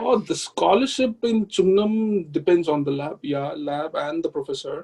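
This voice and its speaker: A man keeps a moderate pace while music plays behind him. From Tamil Nadu, India (Vellore). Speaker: PhD student. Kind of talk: interview.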